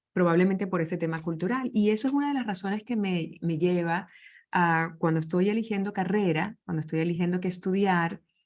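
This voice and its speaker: At a fairly quick pace, a woman talks in a medium pitch with ordinary pitch variation. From Venezuela. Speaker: leadership speaker. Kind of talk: interview conversation.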